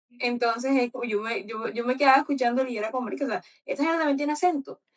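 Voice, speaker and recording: A woman speaks at a high pitch, varying it in an ordinary way. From Colombian Caribbean coast. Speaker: book club host. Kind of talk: book club discussion. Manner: animated.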